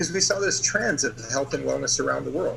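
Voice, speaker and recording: Noticeable background noise behind a man's voice with an American accent. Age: 60s. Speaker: company executive. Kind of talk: sales pitch.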